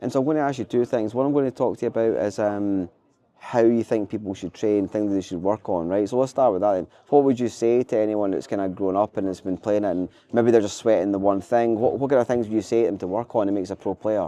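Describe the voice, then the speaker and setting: A man with a Scottish accent talks at a very fast pace, his pitch fairly low. His tone is dark and mellow, and his pitch varies in an ordinary way. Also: dry, close sound with no echo. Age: 40s. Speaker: podcast host. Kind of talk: interview.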